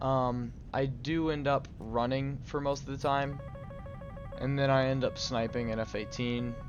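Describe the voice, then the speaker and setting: With music in the background, the voice moves at a fairly slow pace in a monotone, flat intonation. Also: man, medium pitch for a man. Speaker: gaming commentator. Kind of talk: casual gameplay commentary. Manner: hesitant, with occasional stumbles.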